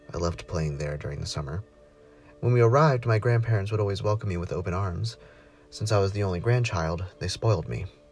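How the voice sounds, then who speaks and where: Music plays in the background while a man speaks. He talks at a very fast pace and a fairly low pitch. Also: lively intonation. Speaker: narrator. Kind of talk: horror story reading.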